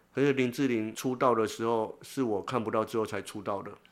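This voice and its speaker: A man with an unremarkable speaking voice talks at a moderate pace and medium pitch, his intonation fairly even. The recording is very clean, with a silent background. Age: 50s. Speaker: blind social worker and author. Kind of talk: interview.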